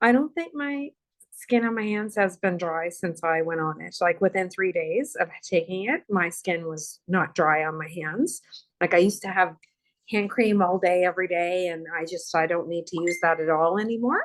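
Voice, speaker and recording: A woman's unremarkable speaking voice at a medium pitch, with ordinary pitch variation and a moderate pace. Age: 50s. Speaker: product user sharing testimony. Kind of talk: testimony.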